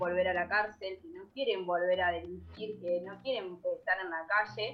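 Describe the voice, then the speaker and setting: A woman of medium pitch speaks at a moderate pace with fairly even intonation in a plain, everyday voice. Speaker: community radio co-host. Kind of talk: casual chat.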